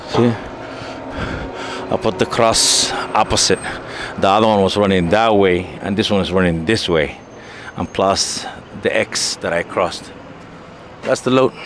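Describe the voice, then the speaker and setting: Over noticeable background noise, a man with a fairly low voice and fairly even intonation speaks at a fairly slow pace, the sound dry with no echo. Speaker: truck driver. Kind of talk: vlog narration while working. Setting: outdoors at loading site and truck. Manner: halting, casual. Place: street. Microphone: phone near.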